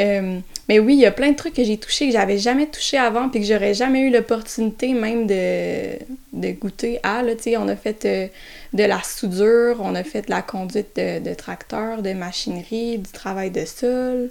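Speaking at a fairly slow pace over noticeable background noise, a woman uses a fairly high pitch with ordinary pitch variation. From Quebec, south of Montreal. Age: 20s. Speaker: market gardener, recent graduate. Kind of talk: interview. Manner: halting, many hesitations.

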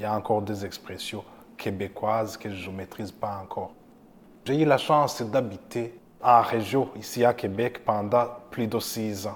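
A man's normal speaking voice, fairly low in pitch, with fairly even intonation and a fairly slow pace. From Burundi. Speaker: community organization worker. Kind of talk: personal testimony.

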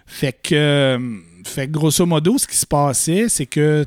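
A man with a Quebec accent speaks at a fairly high pitch with ordinary pitch variation. The recording is very clean with a silent background and a dry, close sound with no echo. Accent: Québécois French. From Quebec, Fermont (Côte-Nord). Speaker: Star Wars collector and exhibition worker. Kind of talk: casual chat.

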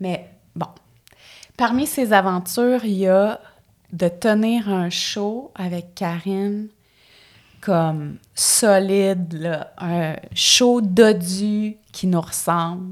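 A woman speaks in a Quebec accent with long, frequent pauses. The recording is very clean, with a silent background. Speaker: actress and character comedian. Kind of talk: casual chat. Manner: animated.

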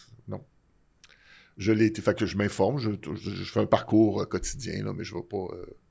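With a Quebec accent, a man speaks at a moderate pace in a fairly low, dark, mellow voice with vocal fry, fairly even intonation and long, frequent pauses. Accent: Québécois French. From Quebec (Laval). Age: 60s. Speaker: comedy TV writer. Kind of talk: casual interview. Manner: halting, many repeated words.

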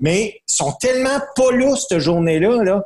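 Very wide pitch swings in a man's moderately paced speech. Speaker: wrestling commentator. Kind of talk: casual chat.

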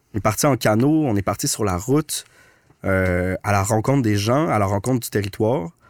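Recorded very cleanly with a silent background and a dry, close sound with no echo, a man with an ordinary speaking voice talks at a fairly low pitch with ordinary pitch variation. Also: moderate pace. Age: 30s. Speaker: documentary filmmaker. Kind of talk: casual interview chat.

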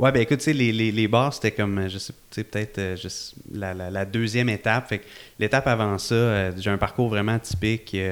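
In a very clean recording with a silent background, a man talks at a moderate pace in a fairly low pitch with fairly even intonation. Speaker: event entrepreneur. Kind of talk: casual interview chat. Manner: calm.

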